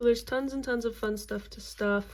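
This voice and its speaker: Her voice fairly high, a woman has a dark, mellow tone. She speaks at a moderate pace with monotone, flat intonation. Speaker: crafting video creator. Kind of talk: tutorial.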